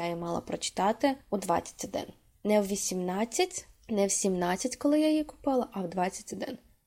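A woman's dark, mellow voice with lively intonation at a fairly slow pace. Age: 20s. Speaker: podcast host. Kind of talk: solo podcast monologue.

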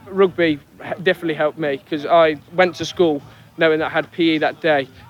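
A man with a fairly high pitch talks at a fairly quick pace in a monotone, flat delivery. Noticeable background noise sits behind him. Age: 20s. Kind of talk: interview testimony. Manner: casual, hesitant with fillers.

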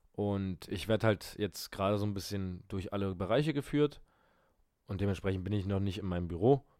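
This man has a normal speaking voice, pitched fairly low with ordinary variation. He talks at a fairly quick pace in a very clean recording with a silent background. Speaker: podcast co-host. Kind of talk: casual chat.

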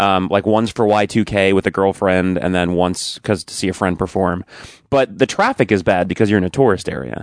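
In an ordinary speaking voice with ordinary pitch variation, a man with a fairly low pitch talks at a fairly quick pace, in a dry, close sound with no echo and a quiet background. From Long Island, New York. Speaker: actor. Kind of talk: casual chat.

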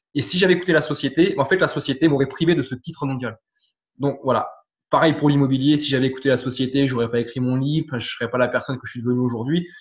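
A somewhat breathy man at a medium pitch speaks very fast with fairly even intonation. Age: 30s. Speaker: firefighter and property investor. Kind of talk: interview testimony. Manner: hesitant, many fillers and repetitions.

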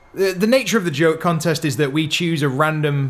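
A man talks fairly quickly in an unremarkable speaking voice, his pitch fairly high with ordinary variation. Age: 20s. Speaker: podcast co-host. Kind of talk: casual chat.

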